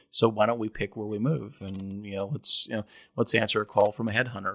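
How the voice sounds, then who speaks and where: A man talks at a very fast pace in a fairly low voice with a bright, sharp tone. His intonation stays fairly even in a very clean recording with a silent background. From Kentucky. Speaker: tech startup CEO. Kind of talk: interview. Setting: company office, in person.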